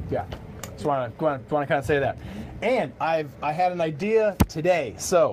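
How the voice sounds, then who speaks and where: Noticeable background noise sits behind a man's fairly high voice. He speaks at a moderate pace with lively intonation. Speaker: bowling pro shop owner and livestream host. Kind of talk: casual livestream chat. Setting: live video stream in a bowling shop. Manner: halting, many repeated words.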